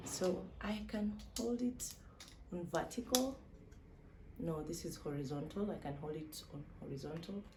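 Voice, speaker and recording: Audible room echo surrounds speech at a fairly slow pace with very wide pitch swings and long, frequent pauses. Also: woman, fairly low pitch for a woman. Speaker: vlogger. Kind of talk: unboxing vlog. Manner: animated.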